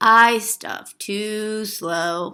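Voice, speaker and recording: In a very clean recording with a silent background, a woman uses a put-on character voice pitched fairly high. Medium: read story.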